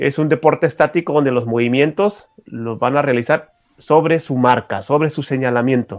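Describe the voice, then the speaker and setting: A man's fairly high voice at a moderate pace, an ordinary speaking voice. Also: ordinary pitch variation. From Mexico, Tijuana, Baja California. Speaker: special education adviser and adapted sports expert. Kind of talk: radio interview. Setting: radio studio.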